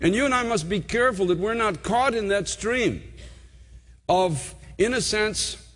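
Against a quiet background, a man speaks in a high-pitched voice. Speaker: preacher. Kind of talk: sermon. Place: church. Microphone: podium.

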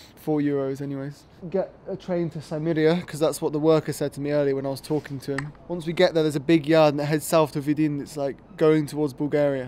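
Over light background noise, a man speaks at a very fast pace with monotone, flat intonation. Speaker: travel vlogger. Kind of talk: casual vlog chat. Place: station. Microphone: phone near.

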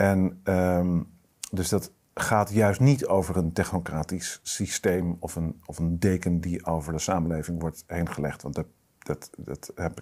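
Over a quiet background, a man with a very deep, low voice and a dark, mellow tone speaks at a fairly slow pace with ordinary pitch variation. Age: 40s. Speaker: strategic adviser, political movement board member; guest. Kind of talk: political discussion interview. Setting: studio, at a table. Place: studio. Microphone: lapel.

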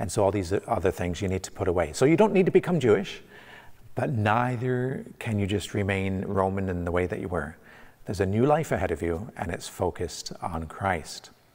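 Speaking at a fairly quick pace with a Canadian accent, a man with a fairly low pitch shows ordinary pitch variation against a quiet background. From Canada. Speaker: pastor. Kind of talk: sermon. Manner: halting, many fillers and repeats. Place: church. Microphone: lapel.

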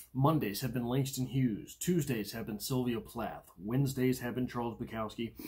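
Somewhat breathy, a man speaks at a moderate pace over a quiet background. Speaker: poetry channel host. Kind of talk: poetry discussion and reading. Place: home room. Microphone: phone near.

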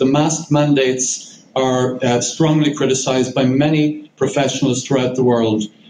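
A man with an Irish accent at a moderate pace, fairly even intonation, audible room echo and light background noise. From Ireland. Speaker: barrister, legal advisor. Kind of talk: press conference statement. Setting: press conference. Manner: formal. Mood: serious, earnest. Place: meeting room.

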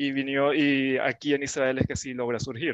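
Against a quiet background, a man speaks at a moderate pace in a flat monotone, and the sound is dry with no echo. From Venezuela (Caracas). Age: 20s. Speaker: engineer; interviewee. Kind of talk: interview. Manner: halting, with many fillers. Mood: friendly, thoughtful. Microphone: headset.

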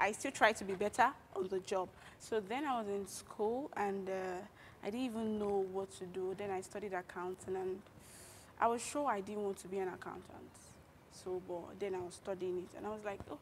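A woman speaks fairly quickly, her intonation fairly even, with light noise in the background. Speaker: guest. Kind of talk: interview answer. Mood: warm, reflective storytelling. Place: studio. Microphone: lapel.

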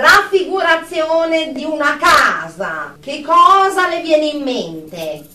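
A woman's put-on character voice, high-pitched with a bright, sharp tone, big pitch swings and a slow pace, in audible room echo

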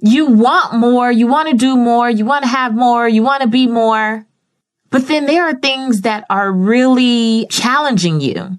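Against a quiet background, a woman talks at a high pitch with ordinary pitch variation. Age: 30s. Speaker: podcast host and media personality. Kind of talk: solo podcast monologue. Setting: home studio. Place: studio.

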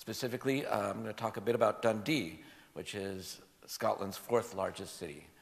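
A man with an American accent, fairly low pitch and ordinary pitch variation at a fairly quick pace. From US, California Bay Area. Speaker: game education academic. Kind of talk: conference talk. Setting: stage with audience. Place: hall. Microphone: podium.

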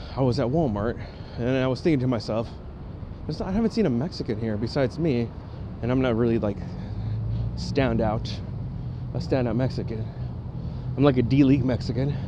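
With noticeable background noise and a dry sound without echo, a man speaks at a fairly quick pace with ordinary pitch variation. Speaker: travel vlogger. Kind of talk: casual vlog chat. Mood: relaxed, joking. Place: street. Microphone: phone near.

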